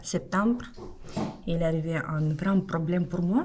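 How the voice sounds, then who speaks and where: Fairly slow in pace, a woman talks at a fairly low pitch. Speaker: migrant interviewee. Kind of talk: testimony. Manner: halting.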